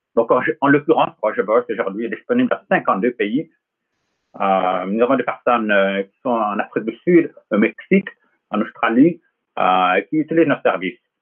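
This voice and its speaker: A man talks at a fairly slow pace, with long, frequent pauses. His loudness swings widely. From US West Coast, Los Angeles. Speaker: tech company founder. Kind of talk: interview.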